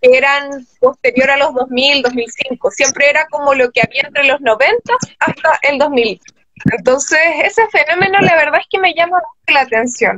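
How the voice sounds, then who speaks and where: In a dry recording with no echo and a quiet background, a woman speaks at a high pitch with ordinary pitch variation and very even loudness. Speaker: panel host or moderator. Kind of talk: conversational panel discussion. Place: home room. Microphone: video call.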